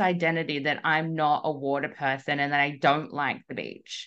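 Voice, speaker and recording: Someone speaks with an Australian accent against a quiet background. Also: woman. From Australia, Melbourne. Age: 30s. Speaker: coach. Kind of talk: casual chat. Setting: video call.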